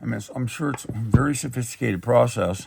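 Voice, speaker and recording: A man speaks loudly. His pitch swings very widely. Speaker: rare book dealer. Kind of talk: product showcase. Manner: halting.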